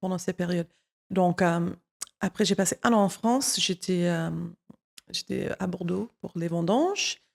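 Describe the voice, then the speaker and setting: A woman speaks at a medium pitch and a fairly slow pace, with fairly even intonation and long, frequent pauses. The sound is dry and close, with no echo. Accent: American. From United States. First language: English (speaking French). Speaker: wine content creator. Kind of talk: interview. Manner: halting.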